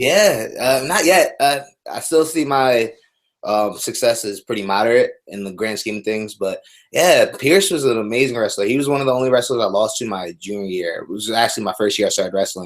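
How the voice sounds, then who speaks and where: In a very clean recording with a silent background, a man with an American accent uses a plain, everyday voice at medium pitch with lively intonation. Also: fairly quick pace. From US Mid-Atlantic (Dover, Delaware). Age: 20s. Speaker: MMA fighter. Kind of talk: interview.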